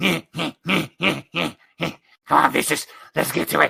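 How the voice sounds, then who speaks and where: A man speaks in a raspy put-on character voice at a medium pitch and a very slow pace. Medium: actual play. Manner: excitable, repetitive.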